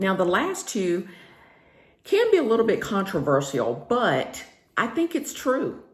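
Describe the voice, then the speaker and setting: A woman with a Southern US accent, in audible room echo. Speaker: career and lifestyle vlogger. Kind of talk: casual vlog monologue. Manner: conversational, with filler words.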